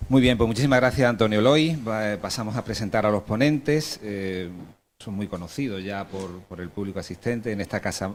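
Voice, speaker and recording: The speech moves at a fairly quick pace with big swings in loudness and ordinary pitch variation. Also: man, fairly low pitch for a man. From Andalusia, Alhama de Granada. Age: 40s. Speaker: panel moderator. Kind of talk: panel moderation and introductions.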